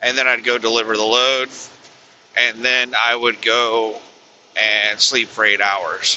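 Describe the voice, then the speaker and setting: A quiet man speaks at a fairly slow pace in a monotone, flat intonation with very even loudness and long, frequent pauses, over noticeable background noise. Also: medium pitch for a man. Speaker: truck driver. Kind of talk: casual vlog talk while driving.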